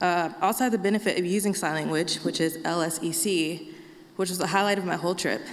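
Against noticeable background noise, a woman talks at a moderate pace with a fairly low pitch and ordinary pitch variation. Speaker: sign language interpreter. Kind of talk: prepared talk.

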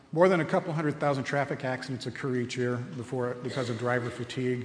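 A man has an unremarkable speaking voice, pitched at a medium level, with ordinary pitch variation. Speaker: presenter giving a talk on sleep health. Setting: convocation lecture to students.

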